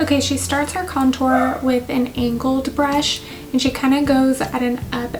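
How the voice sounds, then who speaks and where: Music plays behind a woman speaking at a high pitch. Her intonation stays flat and monotone. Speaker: beauty vlogger and aesthetician. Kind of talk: makeup tutorial commentary. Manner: casual, conversational.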